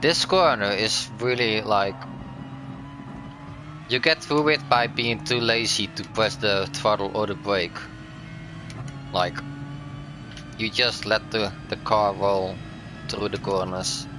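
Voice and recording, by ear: A man at medium pitch with ordinary pitch variation, a very slow pace, long, frequent pauses and music in the background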